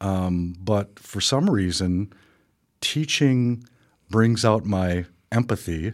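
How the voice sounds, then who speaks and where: A man with an Upper Midwest accent at a fairly low pitch, a very slow pace, and long, frequent pauses, in a very clean recording with a silent background. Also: ordinary pitch variation. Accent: Upper Midwest American. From Wisconsin, Milwaukee and Wausau. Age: 60s. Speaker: painter and museum founder. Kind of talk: radio interview. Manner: hesitant, many fillers.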